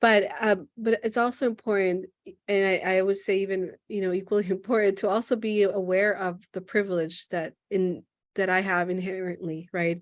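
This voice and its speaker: In an American accent, a woman at a medium pitch speaks at a moderate pace with monotone, flat intonation. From United States. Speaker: podcast host and therapist. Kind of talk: podcast interview.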